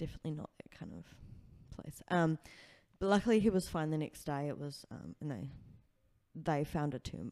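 With a New Zealand accent, a woman speaks in a very deep, low pitch and a dark, mellow tone, showing ordinary pitch variation and big swings in loudness. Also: moderate pace. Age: 20s. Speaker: comedian and sex worker. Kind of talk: casual chat.

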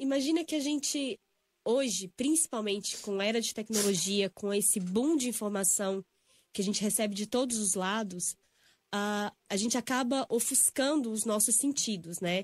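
At a moderate pace with ordinary pitch variation, a somewhat breathy voice comes through on a very clean recording with a silent background and a dry, close sound with no echo. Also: woman, fairly high pitch for a woman. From Brazil, Belo Horizonte (Minas Gerais). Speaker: yoga and spiritual healing instructor. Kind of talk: casual interview. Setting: radio studio.

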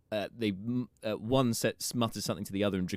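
An unforced reading voice carries the whole clip.

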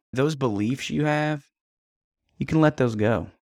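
In a very clean recording with a silent background and a dry, close sound with no echo, a man with an ordinary speaking voice talks at a moderate pace, medium in pitch, with lively intonation. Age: 30s. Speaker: relationship coach and podcast host. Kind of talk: solo podcast monologue.

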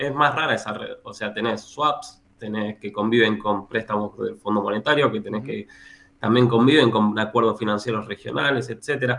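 A man talks with a Rioplatense accent. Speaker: economist and university lecturer. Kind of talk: interview.

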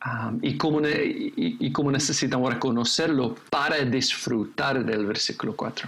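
A man talks very slowly at a medium pitch with ordinary pitch variation, and there is noticeable background noise behind him. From England, raised in Indonesia and the Philippines. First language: English (speaking Spanish). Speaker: pastor and seminary teacher. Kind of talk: casual chat about scripture. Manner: halting, many fillers and repetitions.

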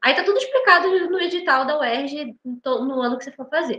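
Projecting a raised voice, a woman with a high pitch speaks at a moderate pace with lively intonation. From Brazil, Rio de Janeiro. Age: 20s. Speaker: medical student. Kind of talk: casual interview.

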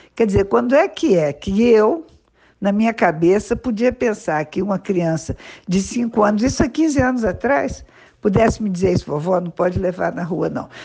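Her tone is dark and mellow, her pitch medium with very wide swings. The woman keeps a moderate pace. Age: 70s. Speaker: veterinarian and municipal agriculture secretary. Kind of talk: interview. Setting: school radio podcast.

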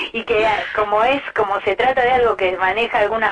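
A woman with a Rioplatense accent speaks at a moderate pace in a medium pitch with ordinary pitch variation, over noticeable background noise. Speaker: singer-songwriter. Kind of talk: interview. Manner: halting.

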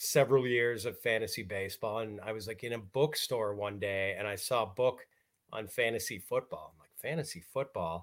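In a very clean recording with a silent background, a man with an American accent speaks at a moderate pace in a plain, everyday voice, medium in pitch, with big swings in loudness. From US Midwest, Milwaukee, Wisconsin. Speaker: fantasy football analyst. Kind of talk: casual interview.

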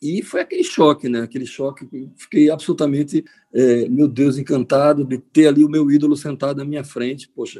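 A man with a fairly high pitch and a dark, mellow tone talks at a fairly quick pace with fairly even intonation. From Recife, Pernambuco, Brazil. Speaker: singer. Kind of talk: interview.

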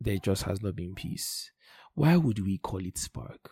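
Somewhat breathy, a man talks at a fairly low pitch and a fairly slow pace. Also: very clean recording, silent background. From Nigeria. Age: 20s. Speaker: podcast host. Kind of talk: personal monologue.

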